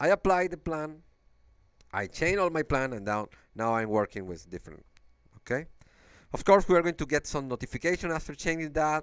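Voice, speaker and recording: A man speaks at a fairly quick pace with a fairly high pitch, lively intonation and a Venezuelan accent, leaving long, frequent pauses. The sound is dry and close with no echo, over a quiet background. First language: Spanish. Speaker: engineer. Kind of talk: software demo walkthrough. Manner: halting, with fillers and repetitions.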